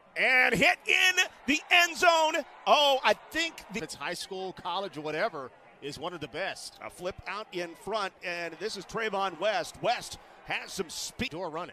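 A man speaks in a raised, projected voice with an excited tone, his high pitch swinging very widely at a fairly slow pace. Noticeable background noise runs underneath. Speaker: play-by-play announcer. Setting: broadcast booth. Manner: rises to excited disbelief on big plays.

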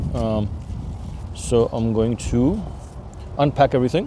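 A man speaks with ordinary pitch variation, the sound dry with no echo and noticeable background noise behind him. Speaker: food vlogger. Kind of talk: casual vlog chat. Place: open country. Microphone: phone near.

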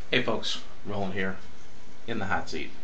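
A man over light background noise. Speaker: vlogger. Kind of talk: casual vlog chat. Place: bathroom. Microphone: webcam.

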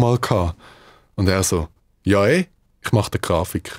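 Speech at a moderate pace, ordinary pitch variation, and a quiet background. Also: man. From Switzerland (Davos), Dutch parents; Switzerland. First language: Dutch (speaking German). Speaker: musician; guest. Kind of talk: interview. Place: studio. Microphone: studio mic.

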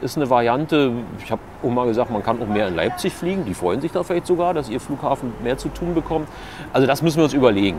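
A man talks at a very fast pace, his pitch swinging very widely. Light background noise sits behind him. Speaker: local politician. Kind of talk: interview answer. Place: street. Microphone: lapel.

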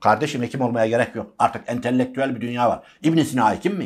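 A man talks at a fairly quick pace. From rural Turkey. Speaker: university lecturer. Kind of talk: interview. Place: studio.

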